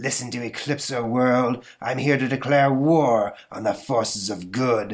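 In a put-on character voice, a man growls at medium pitch with fairly even intonation. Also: moderate pace, hardly any pauses. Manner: demonic, dramatic, menacing.

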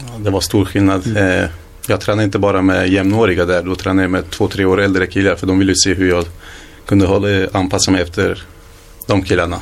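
A man's very deep, low voice, fairly quick and monotone with flat intonation, over noticeable background noise. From Sweden, Hallstahammar (Västmanland). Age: 20s. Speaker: footballer. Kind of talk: interview.

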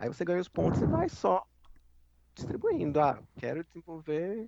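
A man talks at a fairly slow pace in a fairly high voice. The sound is dry and close, with no echo. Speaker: gaming podcast co-host. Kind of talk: casual chat.

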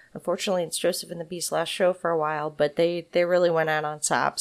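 In a very clean recording with a silent background, a woman with an unremarkable speaking voice and fairly low pitch talks at a fairly quick pace with fairly even intonation. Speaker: podcast host. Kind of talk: interview, casual chat. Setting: in band's practice space.

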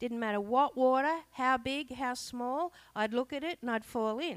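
A woman speaks with an Australian accent and a high pitch. Her intonation is lively. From Australia, Blue Mountains (New South Wales). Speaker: lay preacher. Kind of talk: sermon.

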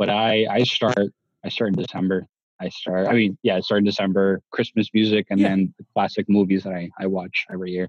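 Monotone and flat, a man talks at a fairly quick pace and fairly low pitch, recorded dry and close with no echo. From Asia and Latin America, Italian-Canadian family. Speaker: podcast guest. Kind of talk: casual chat.

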